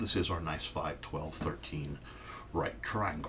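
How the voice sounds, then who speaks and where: Room echo can be heard. A man talks at a moderate pace. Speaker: math teacher. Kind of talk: tutorial.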